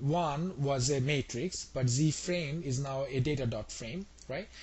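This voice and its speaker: A man's somewhat breathy, fairly high voice with ordinary pitch variation and audible room echo. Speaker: instructor. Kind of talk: lecture. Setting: web session. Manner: fast.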